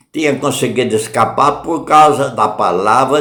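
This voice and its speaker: Audible room echo hangs on this recording. The man speaks fairly slowly. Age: 70s. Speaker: lay preacher. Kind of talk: sermon. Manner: informal, repetitive.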